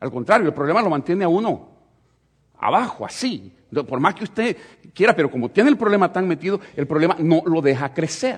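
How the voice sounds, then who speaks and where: This man has a high voice with lively intonation. He talks at a fairly quick pace. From El Salvador. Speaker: pastor. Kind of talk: sermon.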